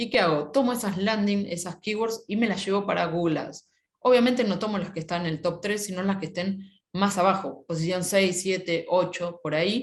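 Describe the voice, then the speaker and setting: A woman speaks at a moderate pace and a medium pitch. Her voice is somewhat breathy, with ordinary pitch variation. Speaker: SEO specialist, webinar speaker. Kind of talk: webinar talk.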